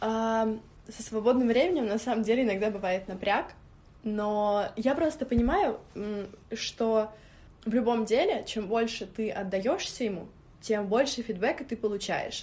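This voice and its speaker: Speaking at a fairly slow pace with long, frequent pauses, a woman uses a fairly high pitch with ordinary pitch variation. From Moscow. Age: 20s. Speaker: stylist and blogger. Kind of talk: interview.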